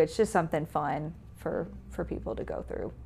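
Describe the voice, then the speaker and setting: A woman with a Southern US accent in a very clean recording with a silent background. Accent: Southern US (Georgia). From Georgia, US South (Newnan). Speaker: museum director. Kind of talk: casual interview.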